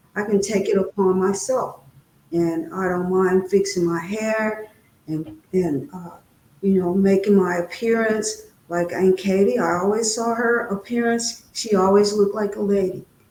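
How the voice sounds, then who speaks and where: A woman with an American accent and a normal speaking voice talks at a fairly slow pace, her medium pitch showing ordinary variation. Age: 60s. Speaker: guest speaker on trauma. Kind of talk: interview testimony.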